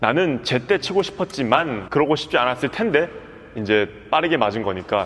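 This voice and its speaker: An animated man at a fairly quick pace, his pitch swinging very widely. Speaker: badminton coach. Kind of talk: tutorial. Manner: fast.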